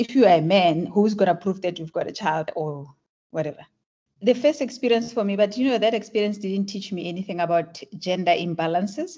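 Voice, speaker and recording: In a South African accent, a woman talks at a moderate pace with lively intonation at a medium pitch. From South Africa (Klerksdorp). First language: Tswana. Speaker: tech entrepreneur. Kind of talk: interview.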